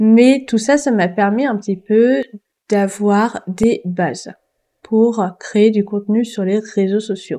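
Speaking at a very slow pace, a woman uses a fairly high pitch with ordinary pitch variation and a dark, mellow tone. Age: 20s. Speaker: book podcaster. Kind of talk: casual monologue. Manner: hesitant, many fillers.

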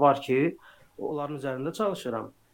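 The pitch varies in an ordinary way. Delivery comes at a fairly slow pace. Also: man. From Azerbaijan. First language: Azerbaijani (speaking Turkish). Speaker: software developer. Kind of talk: interview.

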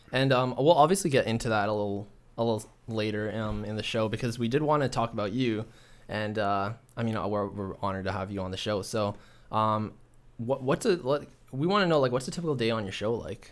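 Talking at a fairly quick pace, this man has a Canadian accent, a medium pitch, ordinary pitch variation and an unremarkable speaking voice. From Toronto, Canada. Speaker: student podcast host. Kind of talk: interview.

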